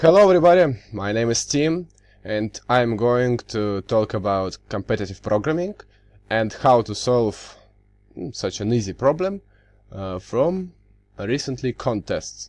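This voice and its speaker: In a quiet background, a man with a Russian accent speaks at medium pitch and a fairly slow pace, with very wide pitch swings. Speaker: university student. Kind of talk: tutorial. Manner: halting, many fillers.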